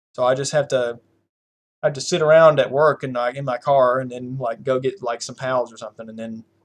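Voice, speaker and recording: Talking at a fairly quick pace with a Southern US accent, a man has a medium pitch and fairly even intonation. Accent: country accent, US Southern. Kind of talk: casual chat.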